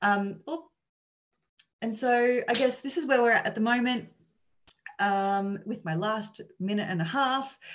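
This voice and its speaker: A woman talks in an Australian accent. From Australia (Sydney). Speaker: charity researcher presenting on homelessness. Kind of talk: conference presentation. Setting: online conference. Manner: halting, many fillers.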